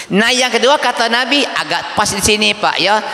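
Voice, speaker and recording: A man speaks in a raised, projected voice with an animated tone. Noticeable background noise is audible. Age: 60s. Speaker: Islamic preacher. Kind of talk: sermon. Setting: mosque event with audience. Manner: animated, interactive with audience.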